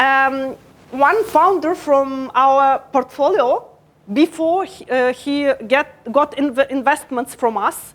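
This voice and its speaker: A woman speaks at a very slow pace. Her pitch is high, with ordinary variation. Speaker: startup program head. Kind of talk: conference talk. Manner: hesitant, many fillers.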